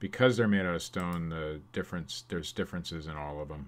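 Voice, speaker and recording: Speaking at a very fast pace, a man with an American accent has a very deep, low pitch. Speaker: eBay reseller. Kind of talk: live stream sales update. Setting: live stream. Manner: loud; casual.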